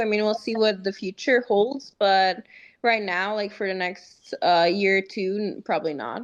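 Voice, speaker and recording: The speaker is a woman with a fairly high pitch. She talks at a moderate pace. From US West, Las Vegas, Serbian family. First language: bilingual Serbian. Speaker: jiu-jitsu athlete. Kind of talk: casual interview. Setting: video call. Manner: reserved.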